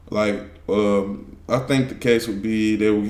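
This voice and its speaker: A man talks in a fairly low pitch with monotone, flat intonation. Audible room echo hangs around his voice. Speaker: streamer reacting to videos. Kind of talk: casual reaction commentary. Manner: stuttering, repeats words.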